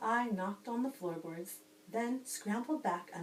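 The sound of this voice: This is an unforced reading voice.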